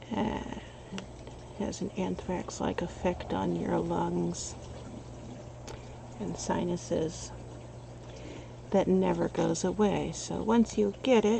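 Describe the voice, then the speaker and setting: A soft-spoken woman whispers very slowly, leaving long, frequent pauses. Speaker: artist streaming while she paints. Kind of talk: casual chat.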